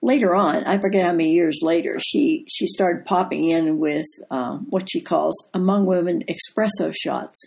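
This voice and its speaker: With vocal fry and lively intonation, a woman with fairly low pitch talks at a moderate pace with hardly any pauses. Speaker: co-host, wife of the deacon. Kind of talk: casual chat.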